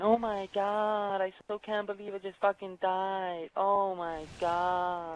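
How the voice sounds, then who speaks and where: A put-on, whiny character voice at a middle pitch speaks with monotone, flat intonation at a fairly slow pace, with hardly any pauses. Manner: whining.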